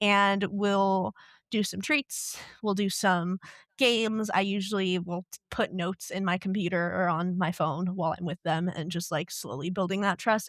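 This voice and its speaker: Speaking at a fairly quick pace with an American accent, a woman has an unremarkable speaking voice and ordinary pitch variation, captured in a very clean recording with a silent background and a dry, close sound with no echo. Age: young. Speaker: dog trainer at an animal shelter. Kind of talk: podcast interview answer. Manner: casual, conversational.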